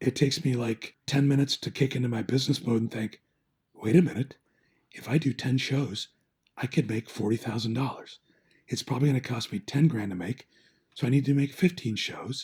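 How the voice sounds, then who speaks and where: At a fairly quick pace, a man talks with medium pitch, ordinary pitch variation and a somewhat breathy quality. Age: 60s. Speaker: painter. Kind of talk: casual chat. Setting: podcast. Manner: animated storytelling.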